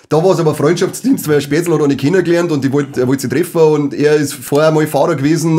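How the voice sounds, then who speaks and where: A man with a fairly high pitch talks at a very fast pace. His intonation stays fairly even. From Bavaria. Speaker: podcast co-host. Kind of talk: casual chat. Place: studio. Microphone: studio mic.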